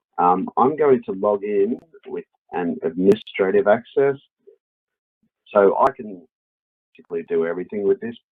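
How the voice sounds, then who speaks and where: A moderate pace with an Australian accent, long, frequent pauses and big swings in loudness. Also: man. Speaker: software product specialist. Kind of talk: webinar software demo. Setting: online webinar.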